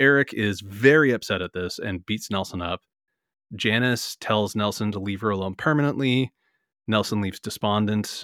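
On a very clean recording with a silent background and a dry, close sound with no echo, a man with a plain, everyday voice speaks at a moderate pace with a fairly low pitch and ordinary pitch variation. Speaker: comics podcast co-host. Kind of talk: casual chat.

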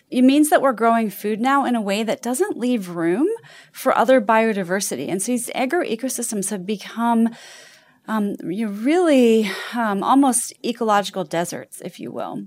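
Speaking at a moderate pace, a woman has a plain, everyday voice with a fairly high pitch and lively intonation. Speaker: ecologist. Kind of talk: talk explaining science.

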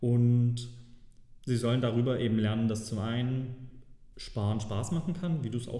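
There is audible room echo and noticeable background noise as a man with a medium pitch speaks at a moderate pace with fairly even intonation. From Saxony, Germany. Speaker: personal finance guest. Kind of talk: interview. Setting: office.

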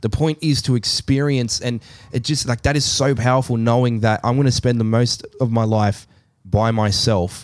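The man's medium-pitched voice holds a fairly even intonation. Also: moderate pace. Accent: Australian. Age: 30s. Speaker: podcast co-host. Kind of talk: casual chat.

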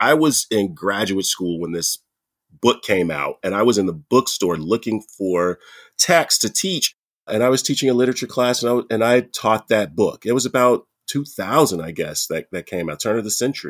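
Here is a man with an American accent and a plain, everyday voice, speaking at a medium pitch and moderate pace with lively intonation. The recording is very clean with a silent background and a dry, close sound with no echo. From United States. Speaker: professor. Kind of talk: panel discussion.

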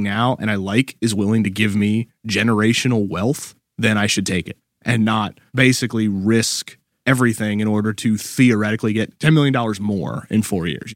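A man's fairly low, normal speaking voice at a moderate pace, with fairly even intonation, in a very clean recording with a silent background and a dry, close sound with no echo. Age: 30s. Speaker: national baseball writer. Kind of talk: casual chat.

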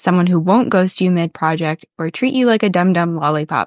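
In a dry, close recording with no echo and a quiet background, a woman with an ordinary speaking voice talks at a moderate pace and medium pitch with lively intonation. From North Carolina, US South. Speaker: podcast host, SEO copywriter. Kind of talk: solo podcast monologue; scripted promo. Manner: casual, chatty.

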